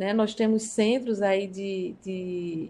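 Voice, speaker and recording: A woman with a dark, mellow tone speaks at medium pitch with fairly even intonation against a quiet background. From Brazil, São Paulo then interior of Paraíba (Northeast). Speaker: violinist and university professor. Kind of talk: interview conversation.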